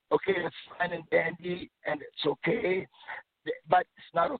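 This is a man speaking. His pace is moderate. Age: 60s. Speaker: caller, father. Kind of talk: phone-in story. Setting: phone call. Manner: halting.

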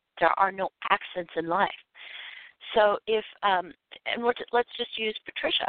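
A woman of medium pitch speaks at a moderate pace with ordinary pitch variation and long, frequent pauses. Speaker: intuitive coach and author. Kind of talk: radio interview and caller readings. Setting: phone call. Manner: animated, laughs often.

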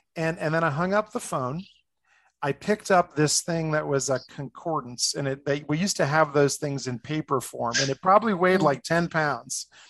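Over a quiet background, a man with an unremarkable speaking voice talks at a moderate pace in a fairly high pitch with ordinary variation, the sound dry and close with no echo. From New Jersey, outside New York City. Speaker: life coach and former pastor. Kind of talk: interview conversation.

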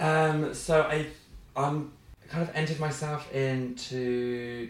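A man speaks with a West Midlands accent and fairly even intonation. Audible room echo surrounds his voice. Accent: Coventry English. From England, Coventry. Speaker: comedian. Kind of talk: casual chat.

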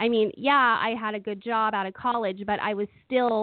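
With an American accent and an unremarkable speaking voice, a woman talks at a moderate pace, her fairly high pitch showing ordinary variation. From Oakland, California. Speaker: comedian and entertainer. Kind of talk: interview testimony.

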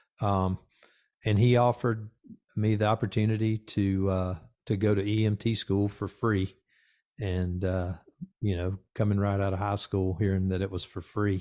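The recording is very clean with a silent background, carrying a man with an American accent and a fairly low pitch in a dark, mellow tone. He moves at a moderate pace with monotone, flat intonation and long, frequent pauses. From US South, Georgia (Conyers, near Atlanta). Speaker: fire service chief and magazine editor. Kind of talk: interview.

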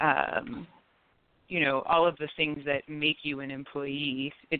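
Fairly slow speech from a woman with a very deep, low pitch. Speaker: attorney. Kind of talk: legal explanation.

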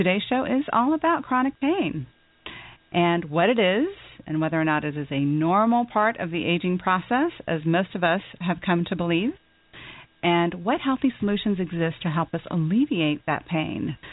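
A woman with a fairly low pitch speaks in a normal speaking voice at a moderate pace, her intonation lively. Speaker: radio host, financial advisor. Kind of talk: radio talk show. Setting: studio.

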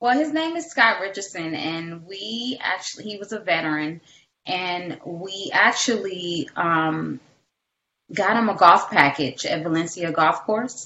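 A woman speaks in an American accent at a fairly slow pace, with a normal speaking voice. Her pitch is medium with ordinary variation, and her loudness swings widely. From Detroit, US. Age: 40s. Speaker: caregiver and nonprofit founder. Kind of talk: interview.

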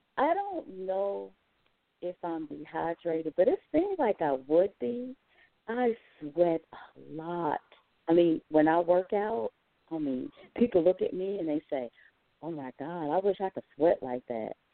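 A woman with an American accent speaks at a fairly slow pace with lively intonation, big swings in loudness, and long, frequent pauses. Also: fairly low pitch for a woman. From North Carolina. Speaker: caller. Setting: phone call.

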